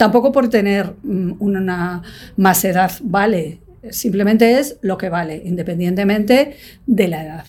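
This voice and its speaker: A plain, everyday voice moves at a fairly slow pace with ordinary pitch variation and big swings in loudness. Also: woman, medium pitch for a woman. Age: 60s. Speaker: magazine production director. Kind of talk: interview.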